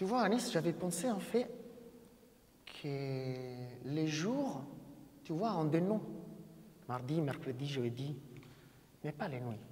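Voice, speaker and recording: A man's fairly high voice with a non-native accent, very slow pace, very wide pitch swings, long and frequent pauses, audible room echo and noticeable background noise. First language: not French (speaking French). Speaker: event moderator. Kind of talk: live talk to audience. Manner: halting.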